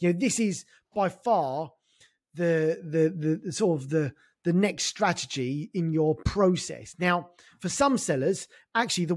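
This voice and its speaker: On a very clean recording with a silent background, a man with lively intonation talks at a fairly slow pace in a high pitch for a man. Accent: London. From North London, England. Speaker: e-commerce consultant. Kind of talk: casual interview chat.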